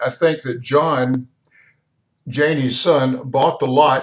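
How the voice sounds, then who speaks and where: Speaking with a West Texas accent, a man uses a fairly high pitch at a fairly slow pace. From Texas Panhandle, Wellington. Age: 80s+. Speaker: home video narrator. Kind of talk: video voiceover narration. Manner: casual, with hesitations.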